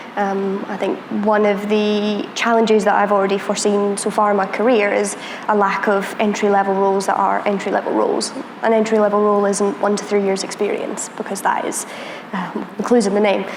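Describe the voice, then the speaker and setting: Over noticeable background noise and audible room echo, the speech runs at a fairly quick pace with monotone, flat intonation. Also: woman, medium pitch for a woman. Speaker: security professional, panelist. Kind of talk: panel discussion.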